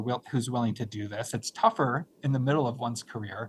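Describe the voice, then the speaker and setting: This man's delivery runs fairly fast. There's a somewhat breathy quality to it. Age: 60s. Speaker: nonprofit finance expert and college leader. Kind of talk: live webinar interview. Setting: live online stream.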